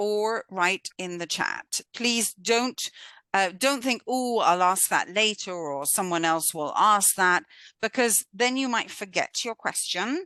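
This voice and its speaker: Against a quiet background, a woman with a British accent and a bright, sharp tone speaks at a very slow pace with lively intonation, the sound dry and close with no echo. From Britain. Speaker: course instructor. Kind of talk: online lecture. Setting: video call.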